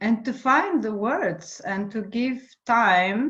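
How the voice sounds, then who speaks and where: Against a quiet background, a woman with a non-native accent speaks at a very slow pace, her fairly high pitch carried by lively intonation. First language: not English. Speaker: voice and trauma coach. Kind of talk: casual chat. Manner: halting.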